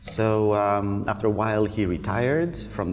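A man speaks at a fairly slow pace in a fairly low voice. Noticeable background noise sits behind him. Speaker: guest. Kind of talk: interview answer. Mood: relaxed, reflective storytelling. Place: cafe.

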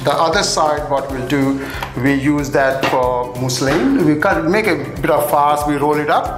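A man talks at a fairly slow pace with ordinary pitch variation. Music plays clearly in the background. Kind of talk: cooking tutorial. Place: kitchen.

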